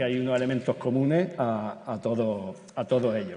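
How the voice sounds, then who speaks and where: A man with an Andalusian accent speaks at a medium pitch with ordinary pitch variation. Noticeable background noise runs behind him. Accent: Granada Andalusian. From Granada, Andalusia, Spain. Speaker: teacher moderating a panel. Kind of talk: panel discussion moderation. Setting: stage with audience at a conference. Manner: halting, many repetitions and fillers.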